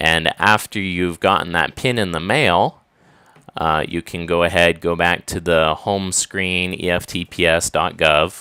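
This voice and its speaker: On a very clean recording with a silent background and a dry, close sound with no echo, a man speaks fairly slowly in a very deep, low pitch with a bright, sharp tone. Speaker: tax preparer; online ESL teacher. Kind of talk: tutorial walkthrough. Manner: dull, dry.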